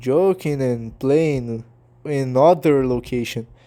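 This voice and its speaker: A man speaks very slowly in a fairly high voice with a dark, mellow tone. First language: not English. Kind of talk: casual talk to camera. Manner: hesitant, halting.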